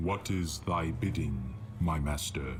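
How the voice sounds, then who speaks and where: The speaker uses a put-on character voice at a fairly slow pace. Loud background noise runs behind it. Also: man. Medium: short film. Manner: terse, formal.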